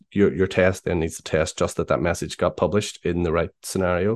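A man with a Northern Irish accent speaks at a very deep, low pitch and a fairly quick pace, with fairly even intonation. The sound is dry and close with no echo, over a quiet background. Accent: Northern Irish (Belfast). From Northern Ireland, Belfast. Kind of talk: casual interview. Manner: halting, many fillers.

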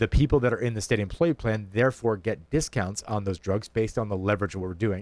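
A man's fairly low-pitched, unremarkable speaking voice at a fairly quick pace, with ordinary pitch variation. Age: 30s. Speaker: state official. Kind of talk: radio interview.

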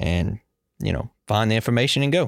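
The voice comes in a Louisiana accent with lively intonation at a very fast pace. The sound is dry and close, with no echo. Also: man. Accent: Louisiana Southern US. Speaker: young farmer committee chair, farmer. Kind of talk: casual chat. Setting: studio.

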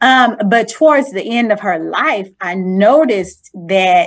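A woman's plain, everyday voice, fairly high in pitch, with lively intonation. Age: 40s. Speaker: faith testimony guest. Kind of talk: testimony.

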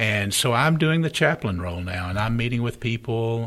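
A man speaks at a medium pitch with lively intonation in an ordinary speaking voice. The recording is very clean, with a silent background. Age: 60s. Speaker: pastor. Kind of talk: casual interview chat. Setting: studio.

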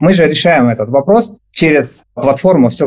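Lively intonation marks a man's unremarkable speaking voice, delivered at a moderate pace. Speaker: startup founder. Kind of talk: startup pitch. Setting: video call.

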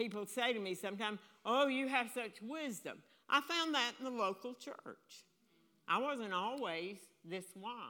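A loud woman's voice with a bright, sharp tone, fairly high pitch and lively intonation. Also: moderate pace. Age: 80s+. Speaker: preacher. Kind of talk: sermon. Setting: church.

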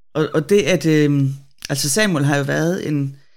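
With a very deep, low pitch and vocal fry, a woman speaks at a fairly slow pace with lively intonation. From Denmark, Bornholm. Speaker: theologian and web editor. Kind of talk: casual Bible discussion. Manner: hesitant, many fillers.

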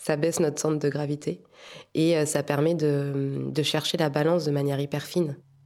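This woman's voice sits at a very deep, low pitch. She delivers her words in a monotone, flat way. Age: 30s. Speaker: tightrope walker. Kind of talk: interview.

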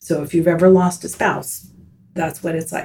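A woman with an American accent speaks at a fairly slow pace in a dark, mellow, somewhat breathy tone. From US South, Miami, Florida. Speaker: retired teacher. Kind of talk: casual interview. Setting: studio.

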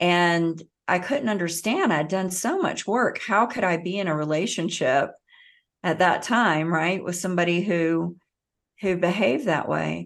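A woman with an American accent and a normal speaking voice, fairly low in pitch with ordinary pitch variation, at a fairly slow pace over a quiet background. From US South. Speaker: author and hypnotherapist. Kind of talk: podcast interview.

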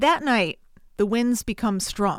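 A woman with an American accent has a plain, everyday voice with a fairly high pitch. She talks at a fairly slow pace with ordinary pitch variation. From Connecticut, US. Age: 30s. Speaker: podcast host, film reviewer. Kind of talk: solo podcast, film review and plot retelling.

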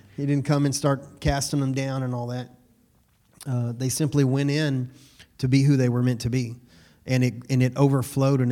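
At a fairly quick pace, a man speaks with a dark, mellow tone at a medium pitch. His intonation is monotone and flat. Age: 40s. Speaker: pastor. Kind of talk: sermon. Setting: church service, also streamed on Zoom.

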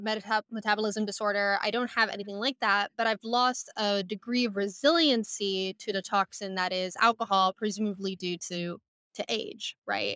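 At medium pitch and a moderate pace, a woman speaks in a bright, sharp tone with ordinary pitch variation, with a dry, close sound with no echo in a very clean recording over a silent background. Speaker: company CEO. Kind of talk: interview, explanatory conversation. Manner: thoughtful, some hesitations.

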